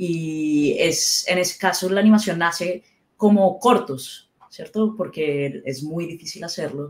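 A woman at a medium pitch talks at a very slow pace, her pitch varying in an ordinary way. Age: 30s. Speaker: character animator. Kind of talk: casual chat.

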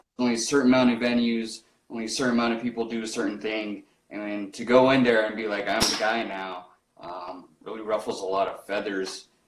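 At a fairly quick pace, a man uses a normal speaking voice at medium pitch with fairly even intonation. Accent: American. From Rocky Ford, Colorado. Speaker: podcast host. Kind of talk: casual interview. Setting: livestream.

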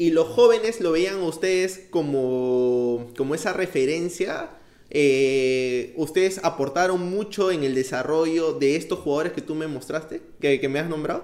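A man at a fairly slow pace, with ordinary pitch variation and noticeable background noise. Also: fairly high pitch for a man. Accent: Peruvian. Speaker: podcast host. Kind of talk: interview.

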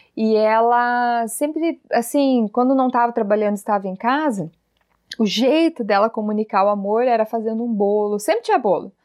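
In an ordinary speaking voice, a woman talks at a moderate pace with a fairly high pitch and ordinary pitch variation. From Paraná, Brazil (Telêmaco Borba). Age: 30s. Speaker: parenting educator and channel host. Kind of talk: casual interview chat.

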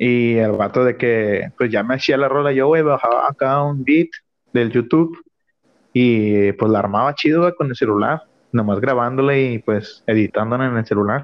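An ordinary speaking voice, a man's, medium-pitched, moderately paced, with ordinary pitch variation. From Mexico, Nuevo León. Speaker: barber. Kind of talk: casual chat.

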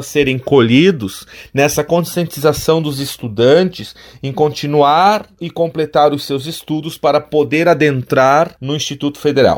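A man with an ordinary speaking voice talks at a fairly slow pace, his fairly high pitch showing ordinary variation. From Santa Catarina, Alto Vale region. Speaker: college professor and administrator. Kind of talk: radio interview. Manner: formal.

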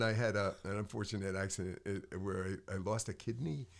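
In a very clean recording with a silent background, a man with an American accent talks at a fairly quick pace in a fairly low pitch, a plain, everyday voice. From Connecticut. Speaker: singer, songwriter and piano player. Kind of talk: casual interview. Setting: studio.

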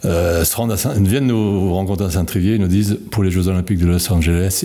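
Very deep and low, a man's voice moves at a fairly quick pace with hardly any pauses and very even loudness. His pitch variation is ordinary, and noticeable background noise is present. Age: 70s. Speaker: retired bicycle component engineer. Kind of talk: interview. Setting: on location at a company site.

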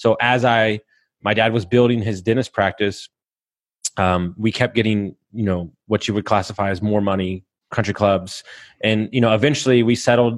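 A man with an American accent and a normal speaking voice, fairly low in pitch, at a moderate pace with fairly even intonation. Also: quiet background. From Texas. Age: 30s. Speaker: podcast host and mindset coach. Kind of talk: casual interview, telling life story.

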